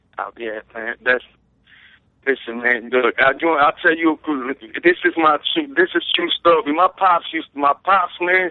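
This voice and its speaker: A man with an American accent speaks at a fairly slow pace in an ordinary speaking voice. His pitch is fairly high, with ordinary pitch variation. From Brooklyn, New York. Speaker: rapper guest. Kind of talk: casual interview chat.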